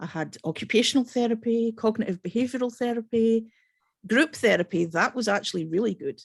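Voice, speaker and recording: A woman speaks at a fairly quick pace, her voice somewhat breathy. Her pitch is fairly high, with ordinary pitch variation. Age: 40s. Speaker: podcast host. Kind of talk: interview.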